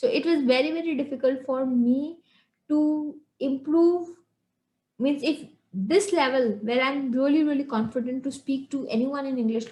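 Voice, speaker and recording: A woman speaks with an Indian accent, her pitch high and her tone dark and mellow. Her pitch moves in an ordinary way at a moderate pace. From India, Shillong. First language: Hindi. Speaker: English communication coach. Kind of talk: online lesson. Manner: halting.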